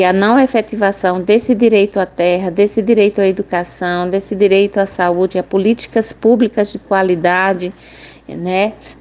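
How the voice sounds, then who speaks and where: At a moderate pace, a woman talks with fairly even intonation and very even loudness. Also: medium pitch for a woman. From Cabrobó, Pernambuco, Brazil. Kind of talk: recorded testimony. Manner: halting.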